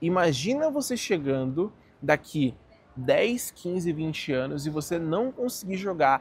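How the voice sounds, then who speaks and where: A man's high-pitched voice in a dry sound with no echo. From Brazil. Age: 20s. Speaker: finance YouTuber. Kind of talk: casual vlog monologue. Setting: outdoors in a park. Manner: animated. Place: garden. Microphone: phone near.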